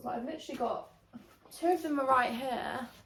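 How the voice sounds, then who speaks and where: A woman is speaking. There is audible room echo around her voice. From England. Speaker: lifestyle vlogger. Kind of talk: casual chat. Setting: at home. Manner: chatty, filler-heavy.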